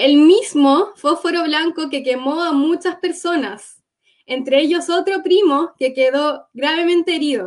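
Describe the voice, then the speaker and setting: A woman's extremely high-pitched voice at a fairly slow pace, with ordinary pitch variation. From Gaza Strip, Palestine; born in Cuba. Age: 20s. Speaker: war survivor. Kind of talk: testimony.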